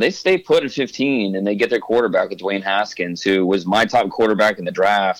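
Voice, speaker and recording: Speaking with an American accent at a moderate pace, a man has an unremarkable speaking voice, a fairly low pitch and ordinary pitch variation on a very clean recording with a silent background. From US Midwest, Ohio. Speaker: football draft analyst. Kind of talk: interview.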